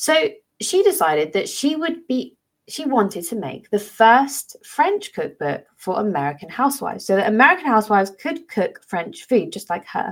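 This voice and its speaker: A woman's fairly high pitch with very wide pitch swings and vocal fry. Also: moderate pace. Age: 30s. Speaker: teacher and podcast host. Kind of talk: solo educational podcast talk.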